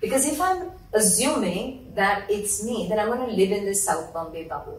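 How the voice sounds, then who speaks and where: A woman's medium-pitched voice, with ordinary pitch variation, moves at a moderate pace against noticeable background noise. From India (Mumbai). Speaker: parenting influencer and entrepreneur. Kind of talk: interview.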